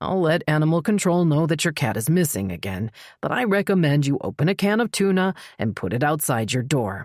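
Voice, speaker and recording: Using a gruff, put-on character voice, a man speaks fairly high and fairly quickly with very wide pitch swings, in a dry, close sound with no echo on a very clean recording with a silent background. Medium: read story. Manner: gruff, curt, exasperated.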